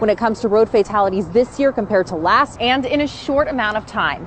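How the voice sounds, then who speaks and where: At a moderate pace, a woman with a fairly high voice and ordinary pitch variation speaks over noticeable background noise. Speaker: TV news reporter. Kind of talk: TV news report.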